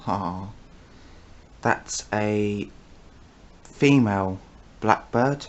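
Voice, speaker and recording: A soft-spoken man with a British accent talks at a very slow pace, leaving long, frequent pauses. His pitch is fairly low, with ordinary pitch variation. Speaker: wildlife vlogger. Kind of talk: casual wildlife commentary to camera. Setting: at home filming through a window.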